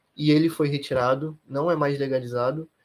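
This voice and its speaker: A man talks at a moderate pace in a normal speaking voice with fairly even intonation. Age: 20s. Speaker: law student and academic researcher. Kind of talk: interview.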